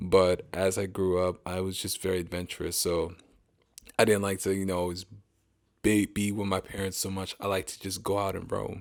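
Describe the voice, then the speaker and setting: A very clean recording with a silent background of a man's very deep, low voice in a flat monotone. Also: moderate pace. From Pennsylvania, US. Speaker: engineer, podcast guest. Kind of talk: interview conversation.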